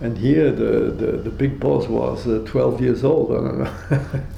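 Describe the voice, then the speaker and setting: A man with a German accent speaks at a fairly slow pace. Noticeable background noise and audible room echo fill the recording. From Austria, then Belgium. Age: 80s+. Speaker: Holocaust survivor. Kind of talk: testimony. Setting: at home. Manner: halting.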